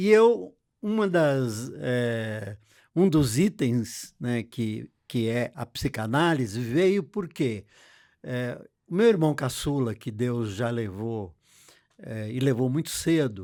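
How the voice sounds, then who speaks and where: This man talks at a very slow pace, his medium-pitched voice dark and mellow with lively intonation. The recording is very clean, with a silent background. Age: 70s. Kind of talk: interview. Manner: halting.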